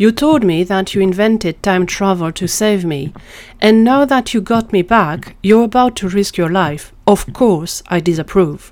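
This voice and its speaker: A woman's strained put-on character voice at medium pitch and a moderate pace, in a very clean recording with a silent background. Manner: upset but restrained.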